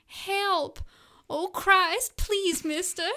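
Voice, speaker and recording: A woman's put-on character voice in a Southern accent, pitched extremely high. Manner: pleading.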